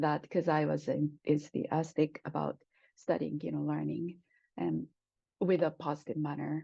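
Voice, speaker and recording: A woman's fairly slow speech in a Japanese accent. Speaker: Japanese language professor. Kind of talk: oral history interview answer.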